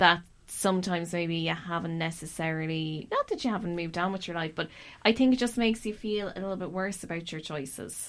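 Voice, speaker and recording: Recorded very cleanly against a silent background, a woman with an Irish accent speaks fairly quickly at a fairly low pitch, with ordinary pitch variation. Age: 30s. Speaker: podcast host. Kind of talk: casual chat; scripted narration.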